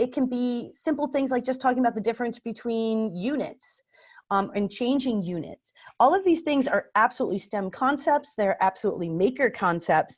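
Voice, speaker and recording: Over a quiet background, a woman talks at a fairly quick pace with lively intonation and a high pitch. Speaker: library makerspace coordinator, former teacher. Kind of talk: webinar presentation. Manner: fast.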